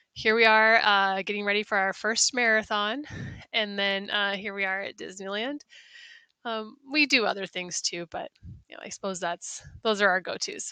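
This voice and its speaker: A bright, sharp tone with a slight North Midwestern accent comes at a moderate pace and ordinary pitch variation, the sound dry and close with no echo over a quiet background. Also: woman, medium pitch for a woman. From US Midwest, South Dakota. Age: 40s. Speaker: science teacher. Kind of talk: self-introduction presentation. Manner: hesitant, many fillers.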